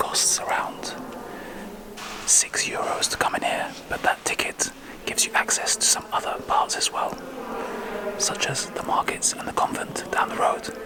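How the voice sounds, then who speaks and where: Whispering at a moderate pace with long, frequent pauses, the speaker comes through noticeable background noise. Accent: British. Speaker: travel vlogger. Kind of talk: casual vlog narration. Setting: outdoors in town, then inside a church. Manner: quiet, hushed.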